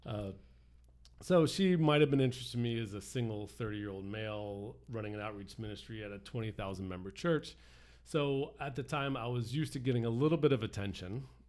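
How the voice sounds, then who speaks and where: A man's normal speaking voice, medium in pitch and fairly quick, with ordinary pitch variation and big swings in loudness. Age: 40s. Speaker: church outreach worker. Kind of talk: casual chat.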